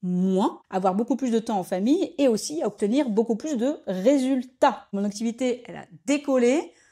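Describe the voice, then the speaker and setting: Lively in intonation, a woman with a dark, mellow tone and a fairly high pitch is heard on a very clean recording with a silent background. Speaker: business coach for entrepreneurs. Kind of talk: talking-head coaching video. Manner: fast; casual, direct address.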